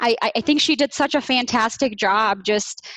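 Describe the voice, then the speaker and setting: Speaking at a moderate pace, a woman with a Midwestern accent comes through with a dry, close sound and no echo. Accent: American Midwest. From Bosnia, raised from childhood in Iowa. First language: Bosnian. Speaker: business manager. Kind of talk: interview. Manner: hesitant, many fillers.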